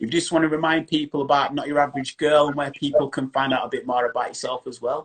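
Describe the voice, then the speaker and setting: A man talks with a strong Yorkshire accent. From Yorkshire, England. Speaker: chat show host, stand-up comedian and DJ. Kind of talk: interview on live video stream. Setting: social media live video.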